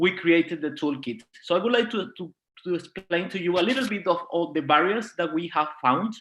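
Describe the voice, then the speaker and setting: With a Spanish accent, a man speaks fairly quickly at a high pitch, his pitch varying in an ordinary way. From Venezuela. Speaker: diversity and inclusion project leader. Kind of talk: panel talk.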